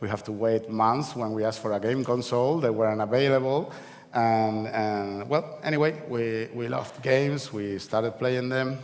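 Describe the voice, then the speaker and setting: A man's medium-pitched voice with a Spanish accent, fairly even intonation and a moderate pace, with audible room echo and noticeable background noise. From Canary Islands, Spain (La Laguna, Tenerife). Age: 40s. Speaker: event speaker, games industry figure. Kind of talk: conference talk. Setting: stage with audience. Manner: halting, many fillers and repeats.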